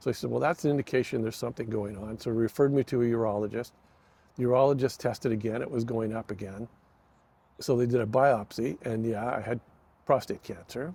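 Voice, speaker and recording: Talking at a very fast pace, a man with a Canadian accent has a medium-pitched voice with a dark, mellow tone. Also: ordinary pitch variation. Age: 70s. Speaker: retired logger and former video store owner. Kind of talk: interview. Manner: hesitant, many fillers.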